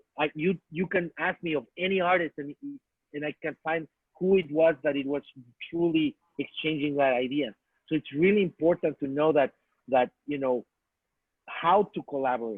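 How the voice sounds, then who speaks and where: With long, frequent pauses, a man in a Spanish accent talks at a moderate pace, his fairly high pitch showing ordinary variation. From Mexico. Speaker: artist and filmmaker. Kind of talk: talk to students. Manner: halting, with many restarts.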